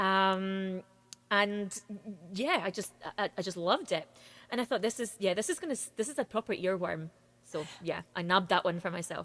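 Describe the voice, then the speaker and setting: This woman speaks with a Scottish accent. Her voice sits at a medium pitch with ordinary pitch variation. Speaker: singer-songwriter. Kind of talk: interview. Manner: fast.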